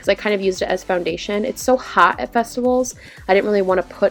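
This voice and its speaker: Music plays in the background as a woman with a medium pitch speaks, her pitch varying in an ordinary way. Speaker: beauty vlogger. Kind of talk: makeup tutorial voice-over. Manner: casual, chatty.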